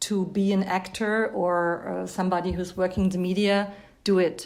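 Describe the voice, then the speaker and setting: A woman is speaking. She has a German accent. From Germany. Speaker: actress. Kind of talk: interview.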